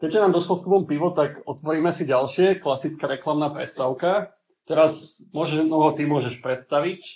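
An unremarkable speaking voice from a man, fairly high in pitch, fairly even in intonation, at a moderate pace. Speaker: podcast host. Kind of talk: casual chat.

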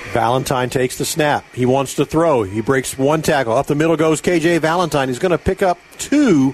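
Through noticeable background noise, a man with an American accent and a fairly high pitch speaks with hardly any pauses, very even loudness and ordinary pitch variation. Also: moderate pace. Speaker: radio play-by-play announcer. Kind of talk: live high school football play-by-play on radio. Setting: radio broadcast booth at a stadium. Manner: brisk, rhythmic play calling that builds to excited snap-by-snap narration.

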